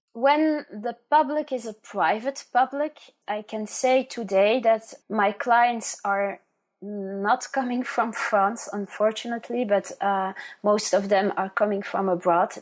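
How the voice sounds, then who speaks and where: A fairly high-pitched woman at a fairly slow pace, with ordinary pitch variation and a quiet background. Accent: Flemish. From Flanders, Belgium. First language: Dutch. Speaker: genealogist. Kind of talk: interview. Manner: halting.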